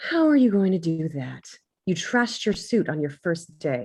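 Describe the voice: A woman's put-on character voice, fairly low in pitch with a slightly husky edge and slightly mellow tone, big pitch swings, and a fairly slow pace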